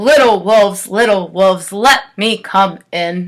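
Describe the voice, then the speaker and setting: A woman's put-on character voice at a medium pitch and a fairly slow pace. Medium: read story. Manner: grunting, menacing.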